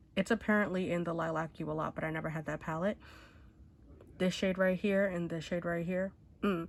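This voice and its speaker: On a very clean recording with a silent background, a woman with a fairly low pitch speaks in a monotone, flat intonation at a fairly quick pace, leaving long, frequent pauses. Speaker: beauty YouTuber. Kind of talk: casual talk to camera. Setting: speaking through a mask.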